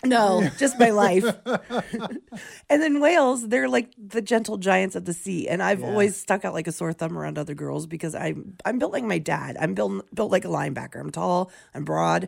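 A raspy-voiced woman speaks at a moderate pace. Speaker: radio morning show co-host. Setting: radio studio.

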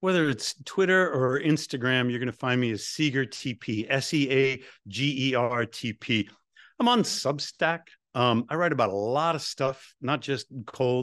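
In an unremarkable speaking voice, a man talks at a medium pitch and moderate pace with ordinary pitch variation, the sound dry and close with no echo over a quiet background. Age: 50s. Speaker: cold therapy expert and professor. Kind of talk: interview.

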